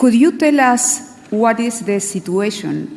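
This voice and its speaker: A woman speaks with a Spanish accent. Noticeable background noise is present. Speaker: moderator. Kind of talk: audience Q&A. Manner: halting.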